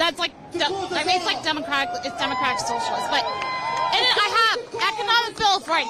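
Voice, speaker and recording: Amid crowd noise and audible room echo, a woman speaks in an animated tone with very wide pitch swings. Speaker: protester. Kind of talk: street interview. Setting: outdoors at a protest. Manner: animated, emphatic; quiet, hard to hear.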